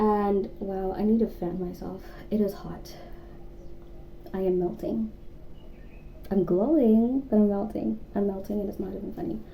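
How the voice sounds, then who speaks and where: A woman speaks with long, frequent pauses amid audible room echo. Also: medium pitch for a woman, moderate pace. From South Africa. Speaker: YouTuber. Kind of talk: casual chat. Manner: animated.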